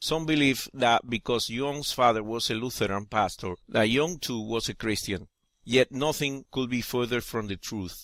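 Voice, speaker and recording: Man with a Spanish accent at medium pitch, ordinary pitch variation and a moderate pace, in a very clean recording with a silent background. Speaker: atheist video essayist. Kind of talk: scripted narration.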